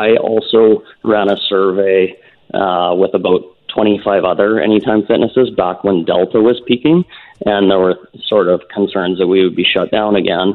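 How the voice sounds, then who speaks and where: Keeping his loudness very even, a man speaks at a moderate pace with fairly even intonation. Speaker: gym owner. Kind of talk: radio interview discussion. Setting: phone call.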